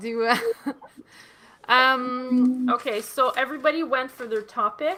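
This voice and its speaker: A woman speaks at a fairly slow pace in a Quebec accent, her high-pitched voice bright and sharp with fairly even intonation. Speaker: comedy workshop host. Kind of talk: casual chat.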